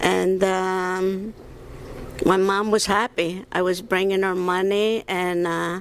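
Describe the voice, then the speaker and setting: At a very slow pace, a woman speaks at a medium pitch in a flat, monotone way. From Sicily, Palermo; moved to Brooklyn at 13. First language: Italian (Sicilian). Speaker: retired hairdresser, family matriarch of pizzeria. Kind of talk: interview storytelling. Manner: hesitant, many fillers.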